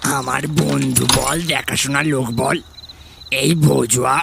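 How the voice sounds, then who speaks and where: A man uses a put-on character voice at medium pitch, speaking very slowly. Background noise is clearly heard. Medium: audio drama. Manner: warm, familiar, affectionate.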